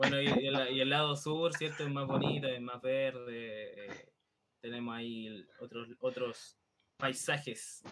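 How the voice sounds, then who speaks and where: A man at medium pitch, with very slow pace and fairly even intonation. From Chile, Santiago. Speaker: podcast co-host. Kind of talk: casual chat.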